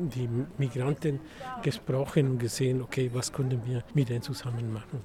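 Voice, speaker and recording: Noticeable background noise runs under a man's voice. He has a medium pitch and keeps a moderate pace. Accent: Mexican. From Mexico. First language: Spanish (speaking German). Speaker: migrant rights activist. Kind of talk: interview. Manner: halting.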